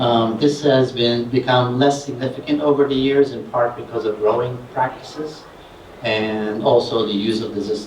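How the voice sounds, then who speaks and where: A man at a moderate pace with fairly even intonation and big swings in loudness, over noticeable background noise. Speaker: scientist. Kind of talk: conference presentation. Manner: hesitant with fillers.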